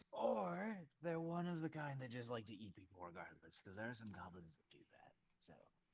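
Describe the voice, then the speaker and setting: Using a put-on character voice, a man talks fairly quickly at a medium pitch with very wide pitch swings. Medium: actual play.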